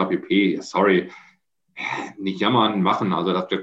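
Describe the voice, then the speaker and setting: At a moderate pace, a man with a fairly low pitch speaks with a Dutch accent. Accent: German with Dutch-tinged features. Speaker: construction company managing director. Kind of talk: interview. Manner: halting.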